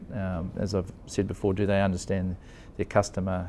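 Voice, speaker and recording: Over light background noise, a man speaks at a fairly quick pace in a fairly low pitch with a dark, mellow tone. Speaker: former company executive. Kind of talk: interview. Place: office. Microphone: lapel.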